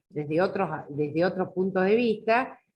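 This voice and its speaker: The woman's voice is fairly low in pitch, with ordinary pitch variation. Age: 60s. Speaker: law teacher. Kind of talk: video call workshop discussion. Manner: halting.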